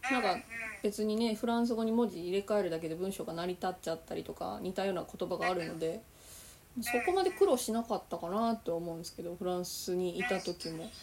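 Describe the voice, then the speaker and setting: Medium-pitched female speech at a fairly quick pace, ordinary pitch variation, and noticeable background noise. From Osaka, Japan. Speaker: podcast host. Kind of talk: casual interview chat.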